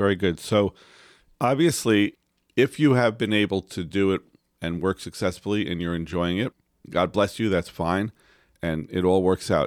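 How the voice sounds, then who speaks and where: A man with a very deep, low pitch speaks at a moderate pace and with ordinary pitch variation, in a very clean recording with a silent background and a dry, close sound without echo. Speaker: podcast co-host. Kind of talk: casual chat. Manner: loud.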